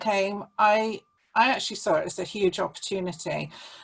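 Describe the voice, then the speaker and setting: A woman's fairly high voice at a moderate pace, a normal speaking voice. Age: 60s. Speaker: small business owner, photographer. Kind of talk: interview.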